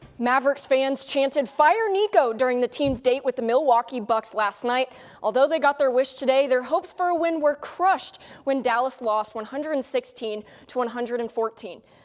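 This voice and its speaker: Noticeable background noise sits behind a woman with an American accent who speaks at a moderate pace in a high pitch with ordinary pitch variation. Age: 20s. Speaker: sports anchor and reporter. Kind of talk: TV sports news anchor read.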